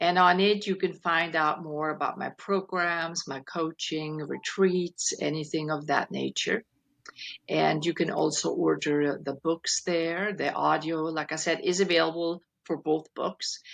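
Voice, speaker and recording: The speaker talks at a fairly slow pace with a non-native accent and flat, monotone intonation. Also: woman, fairly low pitch for a woman. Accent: foreign. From Switzerland. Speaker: keynote speaker and life coach. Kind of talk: reading aloud; interview. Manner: soothing.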